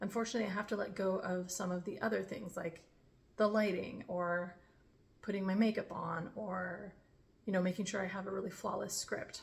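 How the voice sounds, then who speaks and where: A woman speaks at medium pitch in a somewhat breathy voice. Her intonation stays monotone and flat. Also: fairly quick pace. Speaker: vlogger. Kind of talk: casual vlog talk. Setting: home kitchen. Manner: unscripted, off the cuff.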